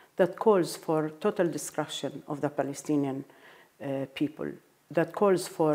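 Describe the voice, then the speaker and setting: This woman has an Arabic accent and a very deep, low pitch. Her tone is dark and mellow, with ordinary pitch variation. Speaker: diplomat. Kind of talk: interview. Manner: halting.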